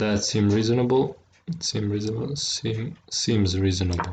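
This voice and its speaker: A man's somewhat breathy, fairly low voice in a non-native accent, with ordinary pitch variation. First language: not English. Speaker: chess streamer. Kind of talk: live game commentary. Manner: halting, frequent word repetitions.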